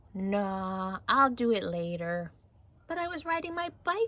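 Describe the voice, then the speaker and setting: Very wide pitch swings mark this put-on character voice, which moves at a fairly slow pace. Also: female-sounding voice, medium pitch for a woman. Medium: read story. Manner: breezy, carefree.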